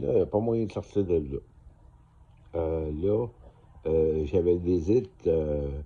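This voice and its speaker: A somewhat breathy man at a fairly slow pace. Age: 60s. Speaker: vlogger. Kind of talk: casual monologue to camera. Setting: motel room. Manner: halting, many fillers.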